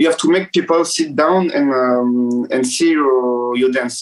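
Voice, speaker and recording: In a French accent, the speaker keeps a moderate pace and fairly even intonation. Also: man. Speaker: dancer. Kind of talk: interview. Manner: halting, many fillers.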